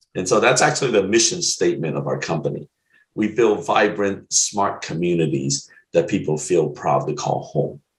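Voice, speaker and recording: Using vocal fry at a fairly low pitch, a man speaks at a moderate pace, his pitch swinging very widely. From born in Guangzhou, China; grew up in US from age eight. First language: Chinese. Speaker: real estate developer, entrepreneur. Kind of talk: podcast interview.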